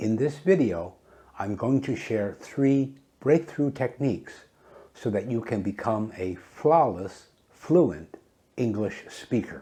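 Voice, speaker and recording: A man speaks at a very slow pace with lively intonation. His tone is dark and mellow, edged with vocal fry. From Canada. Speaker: English teacher. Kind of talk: tutorial.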